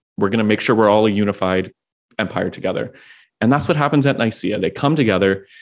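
Here is an unremarkable speaking voice from a man with fairly low pitch. His intonation is lively, and the background is quiet. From Washington D.C., US. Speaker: progressive pastor and author. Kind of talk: interview conversation.

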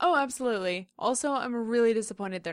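A woman's plain, everyday voice, fairly high, with lively intonation. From Central Indiana, US (moved from Queens young). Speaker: podcast co-host. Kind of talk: casual chat.

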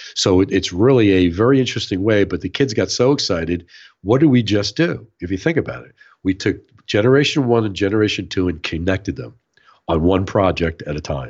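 A man speaks with an American accent at a fairly quick pace. His voice shows vocal fry and big swings in loudness. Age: 60s. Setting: remote call.

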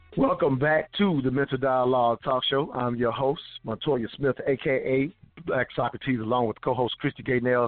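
A man with a plain, everyday voice, fairly high-pitched for a man, at a moderate pace with fairly even intonation. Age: 40s. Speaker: radio talk show host. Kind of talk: radio talk show.

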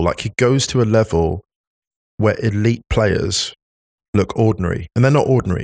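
A man's plain, everyday voice, a plain, everyday voice at medium pitch, with lively intonation and a fairly quick pace. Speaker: football pundit. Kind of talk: casual chat.

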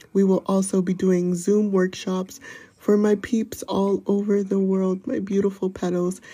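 Soft-spoken and somewhat breathy, a woman with an American accent talks at a moderate pace in a dark, mellow tone at medium pitch, with monotone, flat intonation. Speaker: podcaster. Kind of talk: personal confession monologue. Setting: outdoors.

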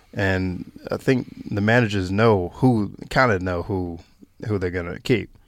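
A man talks fairly slowly in a North Carolina accent. His pitch is fairly low and his intonation fairly even. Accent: Southern US (North Carolina). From US South, North Carolina. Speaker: Australian rules footballer, former basketball player. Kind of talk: interview.

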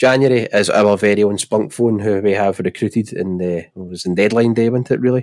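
A man with a Glaswegian accent, fairly even intonation and a moderate pace. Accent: Glaswegian Scottish. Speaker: football podcast host. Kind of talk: casual chat.

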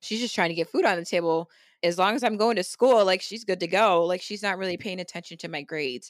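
Very fast, animated speech from a woman at medium pitch with ordinary pitch variation, on a very clean recording with a silent background. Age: 20s. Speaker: pageant contestant and model. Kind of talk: casual chat.

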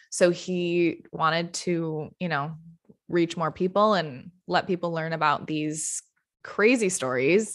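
The background is quiet as a woman talks at a very slow pace. Her pitch varies in an ordinary way. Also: fairly low pitch for a woman. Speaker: podcast host. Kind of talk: casual chat.

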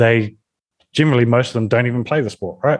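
A man is talking at a medium pitch. He has a New Zealand accent. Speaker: business development manager, influencer marketer. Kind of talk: interview podcast.

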